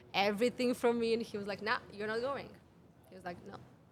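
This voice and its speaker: Her voice is fairly high and monotone, with flat intonation. The woman talks at a fairly quick pace. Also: big swings in loudness. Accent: Serbian. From Serbia. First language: Serbian. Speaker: women's health mentor. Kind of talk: podcast interview. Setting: cafe.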